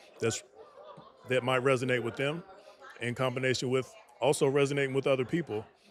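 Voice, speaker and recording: A man talks at a very fast pace in a monotone, flat intonation. Noticeable background noise runs under him. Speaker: aspiring nonprofit founder, Air Force mechanic. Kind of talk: casual chat.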